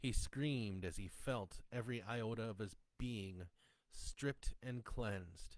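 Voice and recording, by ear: A natural voice reading aloud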